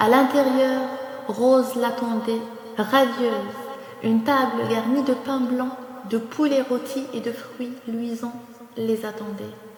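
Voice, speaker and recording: Soft-spoken and high-pitched, a woman speaks in a monotone, flat intonation at a very slow pace, with long, frequent pauses and noticeable background noise. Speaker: storyteller. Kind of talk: bedtime story narration. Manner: soft-spoken, calm.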